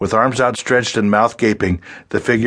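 Someone reads aloud in a natural voice. Their intonation is fairly even.

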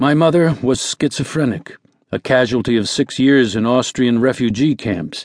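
In an ordinary speaking voice, a man talks fairly slowly with lively intonation against a quiet background. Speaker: audiobook narrator. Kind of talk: reading aloud a first-person memoir, recounting illness, faith and family. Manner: measured, reflective storytelling pace; earnest, quietly confessional tone.

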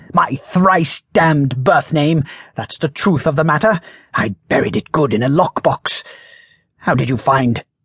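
Speaking at a fairly slow pace, a man with a fairly high pitch uses a dramatic, animated tone, recorded dry and close with no echo against a quiet background. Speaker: audiobook narrator. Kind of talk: dramatic audiobook narration with character voices, comic fantasy. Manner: dry comic timing with dramatic flair.

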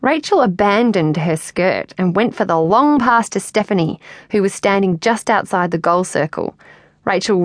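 A natural reading voice carries the clip.

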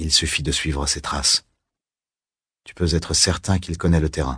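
Putting on a character voice, a man speaks quietly in a very deep, low, raspy pitch, with a calm tone, fairly even intonation and a moderate pace. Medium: read story. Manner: calm, hushed, laconic; quietly probing, strange tone.

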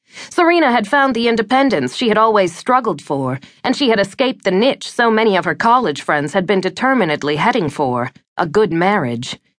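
A woman's voice with vocal fry and very wide pitch swings, at a fairly quick pace over a quiet background. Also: medium pitch for a woman, very even loudness. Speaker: audiobook narrator. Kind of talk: audiobook narration of a romance novel, reading aloud. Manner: smooth, measured, wistful storytelling.

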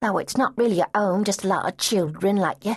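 Natural-voiced reading aloud

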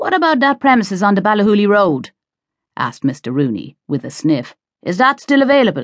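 With an Irish accent and an animated tone, a woman at a medium pitch talks at a fairly quick pace with very wide pitch swings, in a dry, close sound with no echo. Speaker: audiobook narrator. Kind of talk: dramatic audiobook narration of a thriller, with character voices. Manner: tense, suspenseful pacing that builds the menace; animated, shifting into gruff, impatient Cork voices for dialogue.

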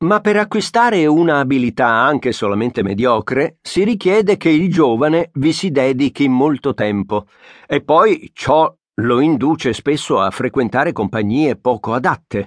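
A man talks at a fairly slow pace in a fairly high pitch, with very wide pitch swings and very even loudness. The background is quiet, and the sound is dry and close with no echo. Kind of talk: audiobook narration, reading a nonfiction book aloud. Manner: formal, measured and steady; clear, thoughtful pace with an even, literary tone.

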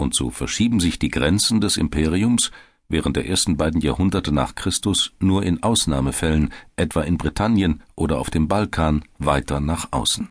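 Over a quiet background, a man speaks in a very deep, low voice with vocal fry, ordinary pitch variation and very even loudness. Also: moderate pace. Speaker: audiobook narrator. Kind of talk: dramatic documentary narration, scripted and read aloud. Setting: studio. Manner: vivid, suspenseful, building tension like live race commentary; measured, formal, authoritative.

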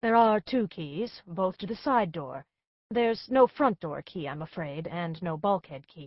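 A woman puts on a raspy character voice at a medium pitch. Her pitch swings very widely and her loudness shifts a lot, all at a moderate pace. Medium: read story. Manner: gracious, smooth, faintly cool.

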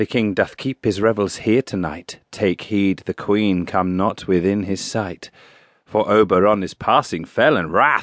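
A man speaks in an ordinary speaking voice, fairly low in pitch and fairly slow, with a dry, close sound, no echo and a quiet background. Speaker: audiobook narrator and actor. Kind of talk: dramatic audiobook narration of a Shakespeare play.

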